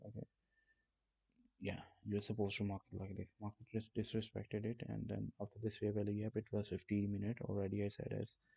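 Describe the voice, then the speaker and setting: The man speaks at a moderate pace. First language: not English. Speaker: trading streamer. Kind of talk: live stream trading tutorial. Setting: live stream. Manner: casual, swearing, halting.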